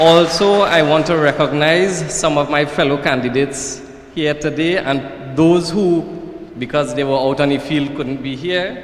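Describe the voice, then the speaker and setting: Against noticeable background noise and audible room echo, a man with a Trinidadian accent talks at a fairly slow pace in a fairly high pitch. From Trinidad and Tobago, Marabella/Claxton Bay. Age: 30s. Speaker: political candidate. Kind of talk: political speech. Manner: formal.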